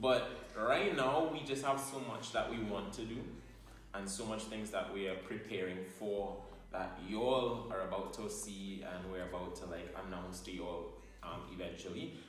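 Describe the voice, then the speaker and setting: Spoken with a strong Trinidadian accent at a moderate pace, the voice shows big swings in loudness. Audible room echo and noticeable background noise fill the recording. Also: man. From Trinidad and Tobago. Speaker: YouTuber, couple channel co-host. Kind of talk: casual Q&A chat.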